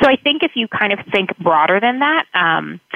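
Noticeable background noise runs under the recording. A woman talks at a fairly quick pace. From South Florida. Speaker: college admissions counselor. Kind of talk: radio interview.

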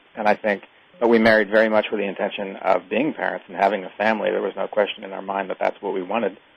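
Against noticeable background noise, a man delivers his words very fast in a fairly low, monotone, flat voice. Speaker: author. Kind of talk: radio interview.

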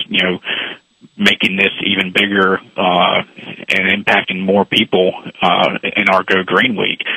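This is a man. He has an ordinary speaking voice. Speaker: baseball league executive. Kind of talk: radio interview.

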